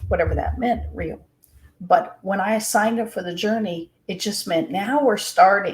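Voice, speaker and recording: Speaking at a moderate pace, a woman has a plain, everyday voice with a medium pitch and ordinary pitch variation. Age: 60s. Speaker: real estate agent and faith speaker. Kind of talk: casual chat.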